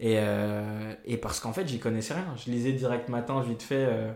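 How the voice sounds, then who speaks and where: Fairly slow male speech at a medium pitch, ordinary in its pitch variation, with room echo audible. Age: 20s. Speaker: journalist. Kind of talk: casual chat.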